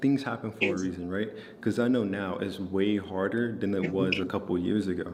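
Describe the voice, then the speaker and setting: Audible room echo surrounds a man with a fairly low pitch. He talks at a fairly quick pace with ordinary pitch variation. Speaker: trading content creator. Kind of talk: casual talk to camera. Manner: calm, relaxed.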